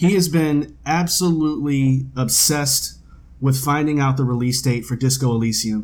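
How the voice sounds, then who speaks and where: Somewhat breathy, medium-pitched male speech, moderately paced and with ordinary pitch variation. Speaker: podcast co-host. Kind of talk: casual chat. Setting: home dining room table.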